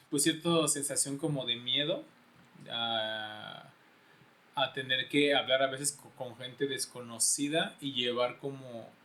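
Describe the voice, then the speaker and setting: A man talks at a very slow pace in a fairly high voice with fairly even intonation. His loudness swings a lot. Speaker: podcast co-host. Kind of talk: casual chat. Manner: halting.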